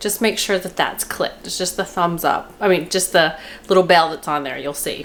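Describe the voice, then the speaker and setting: Against noticeable background noise, a woman talks at a fairly quick pace at medium pitch. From Kentucky. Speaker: cooking vlogger. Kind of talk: casual cooking tutorial. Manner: chatty, rambling.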